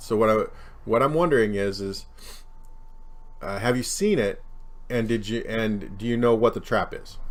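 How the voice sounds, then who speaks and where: At a moderate pace, a man with an American accent speaks at a medium pitch with ordinary pitch variation, long, frequent pauses and audible room echo. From US West, Central Oregon. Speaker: chess streamer. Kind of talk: casual live stream Q&A. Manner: hesitant, many fillers and repeats.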